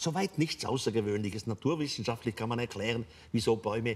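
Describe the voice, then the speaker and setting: Somewhat breathy, the voice of a man carries through the clip. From Switzerland. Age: 80s+. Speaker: author. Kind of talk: interview answer. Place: stage. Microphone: lapel.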